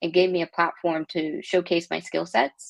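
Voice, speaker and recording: In an American accent, a woman speaks with a fairly low pitch and monotone, flat intonation. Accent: Texan accent, comes out sometimes. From Texas. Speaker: tech product executive, Navy veteran. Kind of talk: interview.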